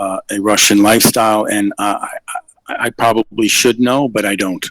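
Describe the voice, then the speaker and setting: In a dry, close recording with no echo, a man with a fairly low pitch talks at a moderate pace in a monotone, flat delivery. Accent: American. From New York. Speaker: English tutor, caller. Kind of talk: casual live stream chat. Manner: hesitant, many fillers.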